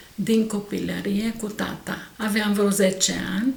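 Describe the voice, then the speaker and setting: With noticeable background noise and audible room echo, a woman speaks very slowly at a medium pitch. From Romania, Săcele (Brașov area). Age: 70s. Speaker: folk artisan, egg decorator. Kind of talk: interview.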